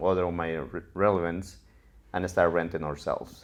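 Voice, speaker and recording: With a Mexican accent, a man speaks at a moderate pace in a very deep, low pitch. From Mexico, Cuernavaca, Morelos. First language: Spanish. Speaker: real estate investor. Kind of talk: interview storytelling.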